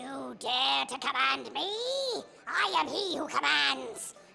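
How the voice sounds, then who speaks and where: Music plays in the background while a man in a put-on character voice uses a raised, projected voice at a fairly slow pace. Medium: audio drama. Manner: grandiose, commanding.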